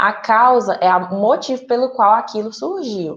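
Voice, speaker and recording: With an unremarkable speaking voice, a woman talks at a fairly high pitch and a fairly slow pace, her intonation lively. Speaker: teacher. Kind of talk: online class lesson. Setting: recorded virtual class.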